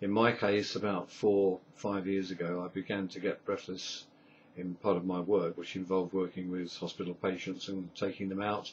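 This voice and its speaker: A man's very deep, low voice in an English accent, flat and monotone, at a moderate pace. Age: 60s. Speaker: patient sharing medical experience. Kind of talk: video diary. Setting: webcam recording at home.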